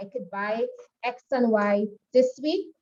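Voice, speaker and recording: Somewhat breathy, fairly high-pitched female voice with a dark, mellow tone. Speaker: makeup artistry instructor. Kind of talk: online class lecture.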